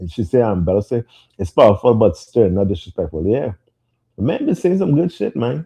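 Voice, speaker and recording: A man speaks at medium pitch with very wide pitch swings. His voice is somewhat breathy and his pace fairly quick. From Trinidad. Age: 40s. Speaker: podcast host. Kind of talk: casual chat. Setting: live stream.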